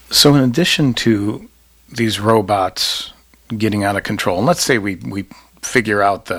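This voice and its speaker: In an unremarkable speaking voice, a man talks at a fairly quick pace with a fairly low pitch. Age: 50s. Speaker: podcast host and political science professor. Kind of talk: academic interview.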